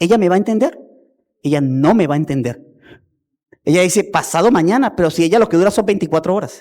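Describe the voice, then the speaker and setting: At a very fast pace yet with long, frequent pauses, a man speaks in a high pitch with a dark, mellow tone and lively intonation. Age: 50s. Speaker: pastor. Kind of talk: sermon. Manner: animated.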